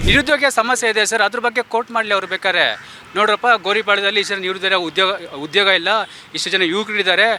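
With a high pitch and fairly even intonation, a man speaks over noticeable background noise. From Bengaluru, India. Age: 30s. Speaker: community activist. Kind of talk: street interview.

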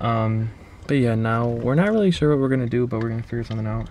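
A man speaks with ordinary pitch variation in a dry recording with no echo, over light background noise. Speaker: vlogger. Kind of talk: casual vlog chat. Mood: relaxed, cheerful. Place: car. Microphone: phone near.

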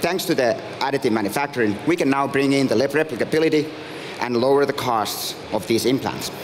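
Over light background noise, a man with a Finnish accent speaks fairly quickly at a fairly high pitch, with ordinary pitch variation and very even loudness. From Finland. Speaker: startup founder and CEO. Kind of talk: pitch presentation. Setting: stage with audience. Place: stage. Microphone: headset.

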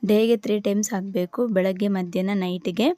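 Recorded very cleanly with a silent background, a woman speaks at a medium pitch in a dark, mellow tone and with fairly even intonation. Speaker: family vlogger. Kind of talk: vlog narration. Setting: home kitchen. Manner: casual.

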